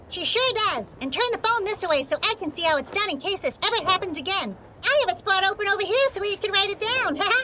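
A put-on character voice at an extremely high pitch and very fast pace, hardly any pauses, over clear background noise. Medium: audio drama. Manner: cheerful, encouraging.

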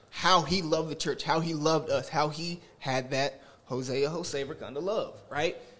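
This man has a fairly high pitch and an ordinary speaking voice, talking at a moderate pace with hardly any pauses and fairly even intonation. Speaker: audience member. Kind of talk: casual chat. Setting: studio.

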